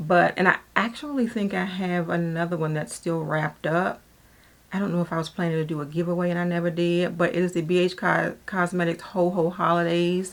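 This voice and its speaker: Using an ordinary speaking voice, a woman with a fairly low pitch talks at a moderate pace with fairly even intonation. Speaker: beauty vlogger. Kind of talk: casual product talk to camera.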